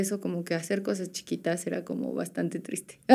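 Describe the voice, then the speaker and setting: The woman's voice has a dark, mellow tone. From Puebla, Mexico. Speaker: vintage shop owner. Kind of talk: casual chat.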